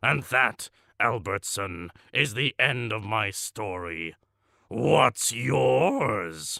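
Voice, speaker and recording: A man growls in a put-on character voice, fairly low in pitch, at a very slow pace with very wide pitch swings. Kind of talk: deadpan comic monologue. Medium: audio drama. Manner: pompous, matter-of-fact about cruelty.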